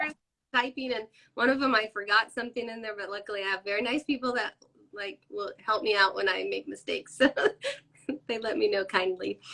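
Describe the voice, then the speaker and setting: Here a woman speaks with fairly high pitch and a bright, sharp tone. Her pitch variation is ordinary, with vocal fry. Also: fairly quick pace. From California. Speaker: crochet pattern designer and shop owner. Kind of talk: casual interview chat. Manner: mumbling.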